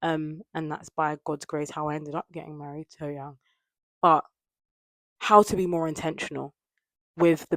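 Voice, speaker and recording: In a London accent, a woman with a very deep, low pitch speaks at a moderate pace in a monotone, flat intonation, the sound dry and close with no echo. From London, England. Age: 20s. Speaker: lifestyle vlogger. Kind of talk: casual vlog chat to camera. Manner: softer speaking lately.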